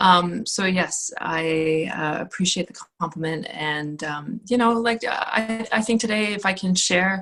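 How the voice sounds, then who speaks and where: A woman with a Canadian accent talks at a medium pitch with lively intonation against noticeable background noise. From Northern Ontario, Canada (Sault Ste. Marie). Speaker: student affairs administrator. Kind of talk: casual chat.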